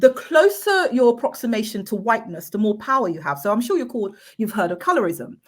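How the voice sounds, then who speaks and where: Very fast and somewhat breathy, the speech rushes on with hardly any pauses and lively intonation. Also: woman, fairly high pitch for a woman. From Manchester, northern England. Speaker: equality and diversity expert, councillor. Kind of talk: interview. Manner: some stammering and repeated words.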